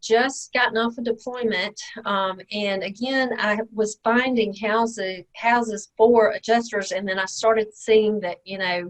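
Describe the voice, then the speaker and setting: In a Mississippi accent, a woman speaks at a fairly slow pace, her fairly high pitch carried in fairly even intonation. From Mississippi, small town. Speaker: real estate investor, tax lien expert. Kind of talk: podcast interview.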